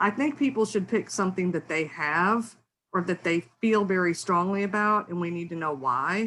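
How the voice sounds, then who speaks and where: A woman with lively intonation and a bright, sharp tone is heard on a very clean recording with a silent background. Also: medium pitch for a woman. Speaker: academic researcher. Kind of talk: lecture. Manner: fast; hesitant with fillers.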